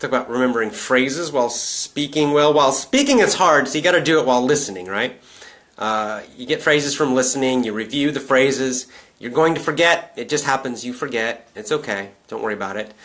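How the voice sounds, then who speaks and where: Over noticeable background noise, a man with an American accent speaks at a medium pitch and a fairly quick pace. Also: ordinary pitch variation. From US South. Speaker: English teacher. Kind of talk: live stream Q&A.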